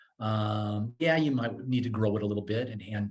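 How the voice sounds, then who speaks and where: This is a man's voice, somewhat breathy. His intonation stays fairly even. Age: 60s. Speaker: financial coaching company founder. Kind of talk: podcast interview. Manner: halting, many repeated words and fillers.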